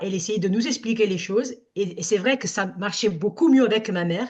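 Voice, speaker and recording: A woman with an Italian accent speaks at a moderate pace in a fairly high, somewhat breathy voice, with ordinary pitch variation. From Italy. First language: Italian (speaking French). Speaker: summer camp director. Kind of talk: workshop discussion. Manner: halting.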